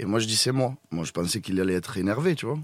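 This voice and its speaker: A man of medium pitch speaks at a fairly quick pace, his voice making very wide pitch swings. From Tunisian heritage. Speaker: opera singer. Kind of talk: casual chat.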